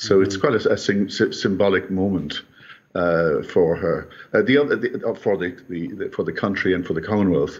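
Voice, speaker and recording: A man with an Irish accent at a moderate pace. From Ireland. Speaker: history scholar; remote commentator guest. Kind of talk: news interview. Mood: solemn, reflective. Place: home room. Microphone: bad internet connection; video call.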